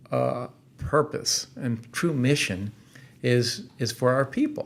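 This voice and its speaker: Lively intonation runs through a man's fairly high-pitched voice, an unremarkable speaking voice. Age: 60s. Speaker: company founder. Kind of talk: podcast interview.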